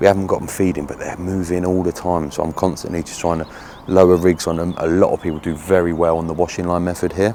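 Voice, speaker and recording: Noticeable background noise sits under a man's very deep, low voice. He speaks at a very fast pace in a monotone, flat intonation. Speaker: fishing video presenter. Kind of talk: outdoor walkaround vlog. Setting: outdoors at a fishing lake. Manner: casual, chatty; quiet.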